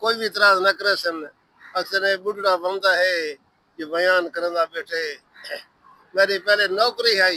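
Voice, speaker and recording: A man's raised, projected voice, high in pitch with a bright, sharp tone and fairly even intonation, comes through dry and close with no echo. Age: old. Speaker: village elder. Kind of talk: casual interview.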